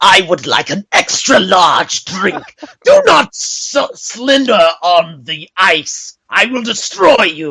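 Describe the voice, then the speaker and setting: Someone uses a put-on character voice at a middle pitch, speaking at a very slow pace. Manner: menacing, threatening.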